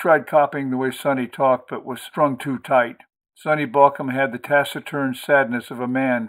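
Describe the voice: Quiet surroundings behind plain reading aloud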